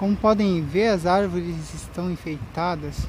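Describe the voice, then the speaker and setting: Noticeable background noise in a dry recording with no echo. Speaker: cyclist vlogger. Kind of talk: casual vlog chat. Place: bicycle. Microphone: phone near.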